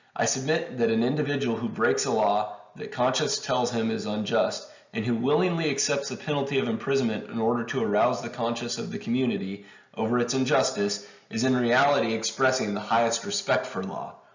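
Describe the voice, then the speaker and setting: Noticeable background noise sits behind a man at medium pitch. He speaks fairly quickly with ordinary pitch variation. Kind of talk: reading of a historic letter. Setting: home recording, poor audio. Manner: amateur reading.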